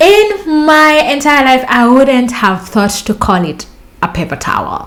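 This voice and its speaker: An animated woman's voice, high-pitched with very wide pitch swings, in a Kenyan accent at a fairly slow pace, over noticeable background noise. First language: Luo. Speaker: vlogger. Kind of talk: storytelling vlog.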